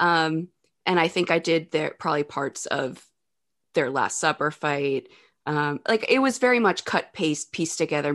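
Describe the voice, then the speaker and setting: Against a quiet background, a woman with a very deep, low pitch talks at a moderate pace in an animated, enthusiastic tone with lively intonation. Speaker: actress and singer. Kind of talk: casual chat about a film. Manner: animated, enthusiastic, laughs often.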